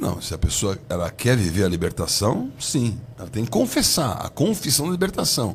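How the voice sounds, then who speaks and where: With very wide pitch swings, a man speaks at a medium pitch and moderate pace, hardly pausing at all. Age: 60s. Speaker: bishop. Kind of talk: heated debate.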